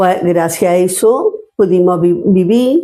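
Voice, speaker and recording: Her pitch swings very widely. The woman's tone is dark and mellow. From Andalusia, Spain (Córdoba province). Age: 70s. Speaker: retired social worker, grandmother interviewee. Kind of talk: personal testimony. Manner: halting, with repetitions.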